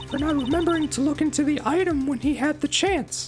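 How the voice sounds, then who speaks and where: Over clear background music, a man does a put-on character voice at an extremely high pitch, speaking at a fairly quick pace. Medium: game stream. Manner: calm, cryptic.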